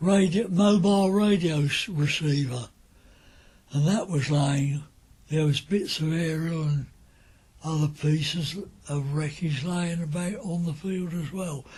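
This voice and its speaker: With an Essex accent, a man talks in a fairly high voice of dark, mellow tone and ordinary pitch variation. He leaves long, frequent pauses. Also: fairly slow pace. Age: 80s+. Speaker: wartime eyewitness. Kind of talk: oral history recollection.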